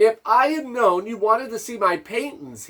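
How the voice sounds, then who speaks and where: Putting on a character voice, a man speaks high in pitch with ordinary pitch variation. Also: moderate pace. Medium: read story. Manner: polite.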